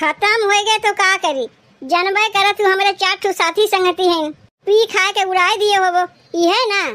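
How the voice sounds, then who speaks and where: A woman's squeaky cartoonish character voice, extremely high in pitch, with fairly even intonation, very even loudness and a moderate pace. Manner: casual, excuse-making.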